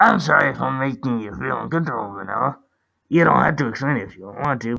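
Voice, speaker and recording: A put-on character voice from a man at medium pitch, very fast, with big swings in loudness. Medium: read story.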